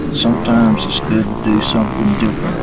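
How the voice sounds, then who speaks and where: A man talks in a medium pitch, with noticeable background noise and audible room echo around him. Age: 60s. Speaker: RV travel vlogger. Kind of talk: vlog narration. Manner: casual, conversational.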